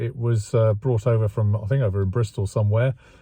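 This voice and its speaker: A man with an English accent speaks in a dark, mellow, somewhat breathy tone. The sound is dry with no echo. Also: quiet background. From England. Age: 60s. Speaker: classic car restoration vlogger. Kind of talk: casual vlog monologue. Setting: outdoors. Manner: hesitant, many fillers. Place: car. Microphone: phone near.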